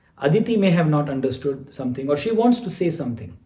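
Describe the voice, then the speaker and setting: Amid audible room echo, a man with a high pitch and a dark, mellow tone speaks with lively intonation. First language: not English. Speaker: spiritual teacher. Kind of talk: online class Q&A.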